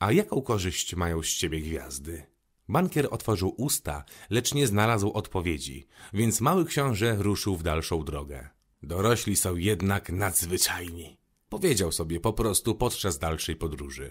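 A man with a very deep, low pitch speaks in a calm, gentle tone that is somewhat breathy, his intonation lively, on a very clean recording with a silent background. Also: moderate pace. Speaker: rapper reading audiobook. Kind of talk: audiobook reading. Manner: calm, storytelling narration with gentle tone shifts for characters.

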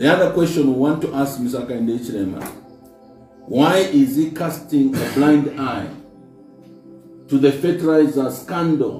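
A man talks at a moderate pace with ordinary pitch variation and long, frequent pauses. Faint music plays in the background, and audible room echo surrounds him. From Zambia. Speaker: politician, party spokesperson. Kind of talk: press briefing statement. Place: office.

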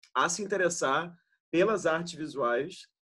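Against a quiet background, a man speaks in a high pitch. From Rio de Janeiro, Brazil. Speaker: interviewer, curator. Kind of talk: interview. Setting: video call. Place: home room. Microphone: video call.

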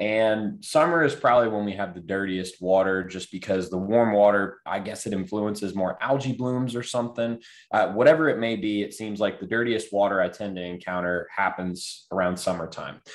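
In a quiet background, a man talks at a fairly quick pace with fairly low pitch and ordinary pitch variation. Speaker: guest. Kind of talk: panel discussion answer. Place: home room. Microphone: video call.

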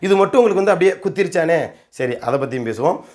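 This man speaks with lively intonation. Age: 30s. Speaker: community activist. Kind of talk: rebuttal monologue. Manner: animated.

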